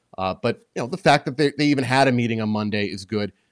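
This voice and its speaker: The speech comes at a very fast pace with ordinary pitch variation. The recording is very clean with a silent background, and the sound is dry and close with no echo. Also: man. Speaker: sports journalist and author. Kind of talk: casual chat.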